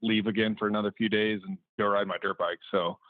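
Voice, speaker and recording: A man talks at a very fast pace in a fairly low pitch, his intonation monotone and flat. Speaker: motocross rider and videographer. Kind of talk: casual chat. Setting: studio.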